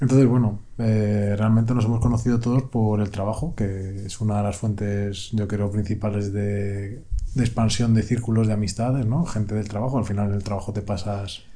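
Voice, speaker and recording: Audible room echo surrounds a man who speaks at a moderate pace in a fairly low pitch with fairly even intonation. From Spain. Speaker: podcast co-host. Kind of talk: casual chat.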